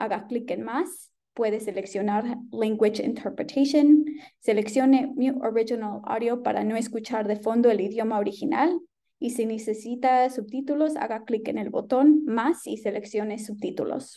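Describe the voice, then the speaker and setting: Against a quiet background, a woman talks at a fairly quick pace in a dark, mellow tone with ordinary pitch variation. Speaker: webinar host. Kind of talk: webinar announcements. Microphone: webcam.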